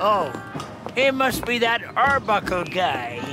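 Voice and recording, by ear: Over clear background music, a man does a cartoonish character voice, high-pitched with big pitch swings, at a slow pace.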